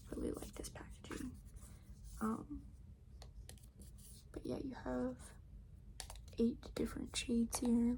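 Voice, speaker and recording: This is a woman's voice. She is soft-spoken. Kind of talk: ASMR makeup bag tour, casual talk to camera.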